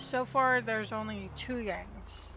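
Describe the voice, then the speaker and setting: A woman's voice with audible room echo. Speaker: gaming streamer. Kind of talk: casual gameplay commentary. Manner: halting, stumbles on words.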